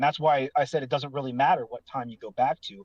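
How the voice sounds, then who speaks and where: A man with a plain, everyday voice speaks at a fairly quick pace and a fairly high pitch, with ordinary pitch variation and a dry, close sound with no echo. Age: 30s. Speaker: online forum user. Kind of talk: casual chat.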